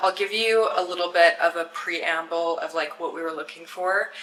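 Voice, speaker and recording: A woman's fairly low voice at a moderate pace, with noticeable background noise. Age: 30s. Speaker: lifestyle vlogger. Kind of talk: vlog house tour. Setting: indoors, empty house. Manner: casual, chatty.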